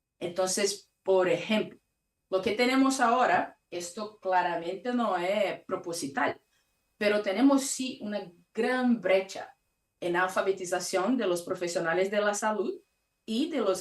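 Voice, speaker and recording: Someone with a Brazilian accent talks at a fairly slow pace with ordinary pitch variation. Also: woman. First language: Portuguese (speaking Spanish). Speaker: conference speaker on patient safety. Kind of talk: conference talk.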